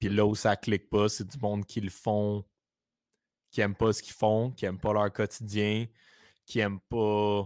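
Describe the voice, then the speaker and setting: A man with a Quebec accent talks at a fairly slow pace in a fairly low, monotone, flat voice with long, frequent pauses, on a very clean recording with a silent background. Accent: Québécois French. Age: 20s. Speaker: entrepreneur, creative agency co-owner. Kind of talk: casual interview chat.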